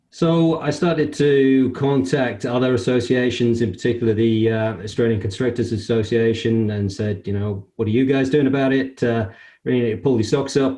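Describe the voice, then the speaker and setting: A man with a British accent, medium pitch, and a dark, mellow tone, at a moderate pace with fairly even intonation, very even loudness, and hardly any pauses. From UK. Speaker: construction industry association CEO. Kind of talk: interview. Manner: hesitant, many fillers.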